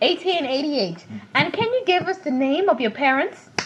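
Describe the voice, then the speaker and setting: Noticeable background noise sits behind a woman's high voice as she talks at a moderate pace with lively intonation. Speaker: family interviewer. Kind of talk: home interview questions.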